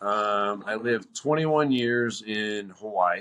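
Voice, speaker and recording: A man with an American accent, a bright, sharp tone and ordinary pitch variation. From US Northeast, north-central Pennsylvania. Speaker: off-road Jeep enthusiast. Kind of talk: casual chat. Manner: animated.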